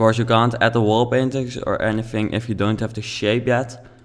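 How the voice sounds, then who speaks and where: A man with a Dutch accent speaks at a moderate pace in a fairly low voice. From Netherlands. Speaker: video game YouTuber. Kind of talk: let's play commentary. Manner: halting.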